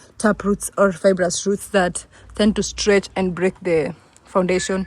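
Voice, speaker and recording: A woman talks at a medium pitch with an East African accent. Her voice is somewhat breathy. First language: Swahili. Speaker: vlogger. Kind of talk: casual vlog, home tour. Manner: fast; animated.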